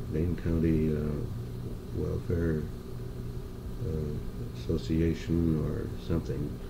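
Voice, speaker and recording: With an American accent, a man speaks very slowly with long, frequent pauses amid noticeable background noise. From Madison, Wisconsin. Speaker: oral history interviewee. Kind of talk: interview answer. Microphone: old recording.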